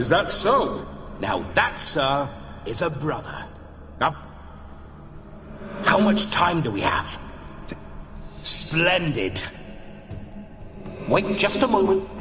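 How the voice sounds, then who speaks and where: A man's cartoonish character voice, high-pitched, at a fairly slow pace, with clear echo and clear background noise. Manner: bawdy, flamboyant.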